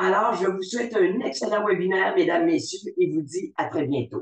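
There is a man speaking. Room echo can be heard. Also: quiet background. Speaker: webinar moderator. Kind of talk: formal webinar moderation. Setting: video call webinar. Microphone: video call.

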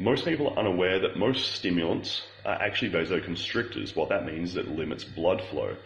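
A man with a very deep, low pitch speaks at a fairly quick pace over light background noise. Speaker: fitness coach. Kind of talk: casual vlog tutorial. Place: home room. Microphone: phone near.

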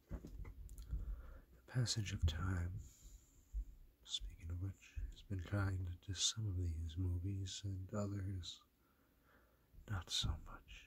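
A soft-spoken man's very deep, low voice, somewhat breathy, at a very slow pace with long, frequent pauses. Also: ordinary pitch variation. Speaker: ASMR collector. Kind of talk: ASMR talk to camera. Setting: dim room, lo-fi recording. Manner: soft-spoken, low voice. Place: home room. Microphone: phone near.

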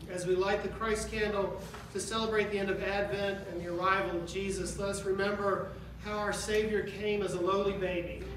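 Amid noticeable background noise and audible room echo, a man with a high pitch speaks at a moderate pace. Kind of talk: liturgical reading and prayer. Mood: solemn, reverent. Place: church. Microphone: podium.

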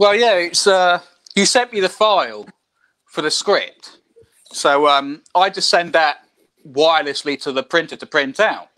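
Over a quiet background, a man with a high pitch and a bright, sharp tone speaks at a moderate pace with ordinary pitch variation and long, frequent pauses. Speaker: comic artist. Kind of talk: casual chat. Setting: video call. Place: home room. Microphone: video call.

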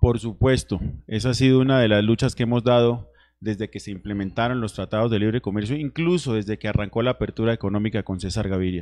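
With very rapid delivery, the man's pitch shifts in a typical way. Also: medium pitch for a man. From Nariño, Colombia. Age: 30s. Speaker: congressional candidate; candidate. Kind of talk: political debate. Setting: TV studio. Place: studio. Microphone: handheld.

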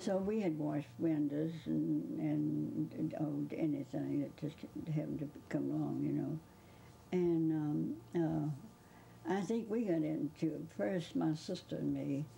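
A woman with a Southern US accent speaks at a fairly slow pace and very even loudness, with light background noise. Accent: Southern US (Georgia). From Georgia, US. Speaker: interviewee recalling a famous author; interviewee. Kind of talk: interview reminiscence. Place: home room.

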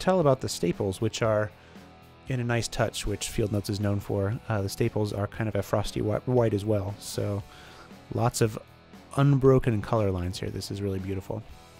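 Faint music plays in the background. The speaker talks at a moderate pace with fairly even intonation. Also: man. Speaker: product reviewer. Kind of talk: casual unboxing commentary. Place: home room.

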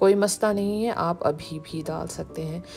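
Music plays behind a woman whose pitch varies in an ordinary way. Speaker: home cooking channel host. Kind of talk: tutorial.

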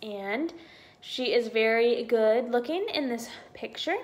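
An American woman speaks at a fairly slow pace in a high voice. Her pitch swings very widely, with light noise in the background. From US South. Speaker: YouTuber, Disney pin collector; collector vlogger. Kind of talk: casual vlog, unboxing; casual vlog chat. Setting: at home. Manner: hesitant, many fillers. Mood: cheerful, excited. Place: home room. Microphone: phone near.

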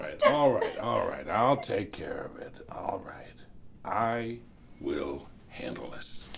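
A man puts on a raspy character voice at a fairly slow pace. Light background noise sits behind him. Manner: upbeat, hesitant, folksy.

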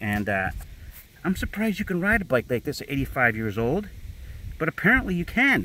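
A man speaks at a moderate pace in a bright, sharp tone with vocal fry and very wide pitch swings. Long, frequent pauses break up the dry sound with no echo. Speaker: motorcycle dealer; seller showing his motorcycle. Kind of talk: sales walkaround video. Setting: outdoors. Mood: proud, enthusiastic. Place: open country. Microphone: phone near.

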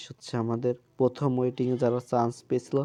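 Dark, mellow tone from a man, with a quiet background. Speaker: YouTuber giving admission updates. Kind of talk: informational vlog.

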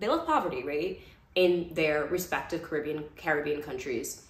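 A woman with a New York accent, fairly low in pitch and animated in tone, at a fairly quick pace, with audible room echo. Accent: New York American. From Brooklyn, New York. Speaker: vlogger, former lawyer. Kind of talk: casual chat. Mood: relaxed, reflective storytelling. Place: home room. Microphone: phone near.

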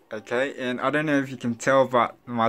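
The man's tone is bright and sharp, his intonation monotone and flat, at a moderate pace. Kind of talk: casual vlog chat. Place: home room. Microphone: phone near.

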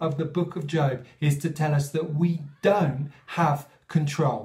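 Against a quiet background, the voice is dark and mellow, somewhat breathy, at a fairly slow pace. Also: man. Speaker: speaker. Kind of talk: sermon-style reflection. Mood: calm, earnest. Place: home room. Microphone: phone near.

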